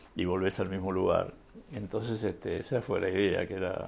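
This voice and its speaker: A man with a Rioplatense accent speaks at a fairly quick pace in a fairly low pitch. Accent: Argentine Rioplatense Spanish. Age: 70s. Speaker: photographer. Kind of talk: interview. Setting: at his home. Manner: halting, many fillers.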